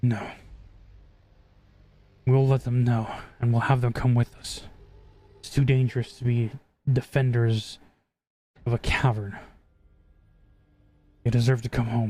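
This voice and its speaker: A man puts on a character voice at medium pitch, flat and monotone. He moves at a moderate pace with long, frequent pauses. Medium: actual play. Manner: stern, commanding.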